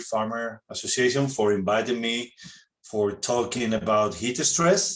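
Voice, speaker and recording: A man is speaking. He has a Spanish accent. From Spain. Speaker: veterinarian. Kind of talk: webinar presentation. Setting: online webinar. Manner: halting non-native phrasing.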